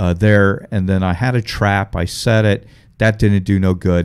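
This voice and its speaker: Speaking at a moderate pace with an American accent, a man uses a fairly low pitch and fairly even intonation. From Ohio, Dayton area. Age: 40s. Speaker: comedian. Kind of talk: casual chat. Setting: live stream.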